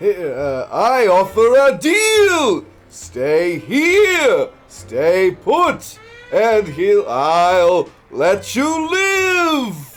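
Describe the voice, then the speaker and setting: Over music in the background, a man uses a put-on character voice at an extremely high pitch and a very slow pace. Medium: game stream. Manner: theatrical, booming.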